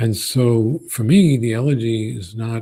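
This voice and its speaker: A somewhat breathy voice speaks with an American accent. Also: man. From Brooklyn, New York. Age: 60s. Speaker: poet. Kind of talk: Q&A answer at a college event. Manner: halting, many fillers.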